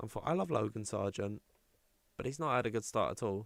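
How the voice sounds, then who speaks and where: Medium-pitched male voice with an English accent. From England. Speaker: sim racing stream commentator. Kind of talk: live commentary. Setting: livestream. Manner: casual, chatty.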